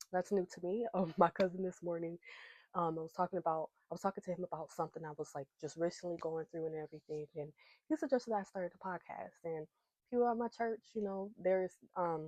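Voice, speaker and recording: A woman's fairly low, dark, mellow voice races at a very fast pace, recorded dry and close with no echo. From US West, Lancaster, California. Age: 20s. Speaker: podcast host and artist. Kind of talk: casual chat while doing makeup.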